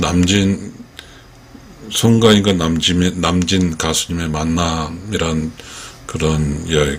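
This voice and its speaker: A man's very deep, low voice in a monotone, flat delivery, with noticeable background noise. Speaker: fan commentator. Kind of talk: casual commentary talk to camera.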